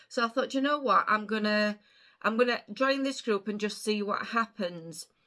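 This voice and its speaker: A woman with an English accent, her bright, sharp tone at a fairly high pitch with ordinary variation, in a very clean recording with a silent background. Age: 50s. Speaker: vlogger. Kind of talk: casual chat.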